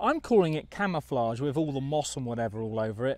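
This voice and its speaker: An unremarkable speaking voice moves at a fairly quick pace with lively intonation in a very clean recording with a silent background. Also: man. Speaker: motorhome vlogger. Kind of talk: casual vlog narration. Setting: outdoors.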